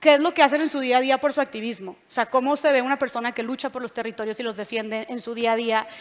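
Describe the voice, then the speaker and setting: A woman with a Monterrey accent talks in an animated tone at a high pitch. Her pace is very fast, with hardly any pauses. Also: ordinary pitch variation, big swings in loudness. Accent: Monterrey (norteño). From northern Mexico, Monterrey. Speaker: panel moderator and podcast host. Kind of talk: panel moderation at a live event. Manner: casual, animated.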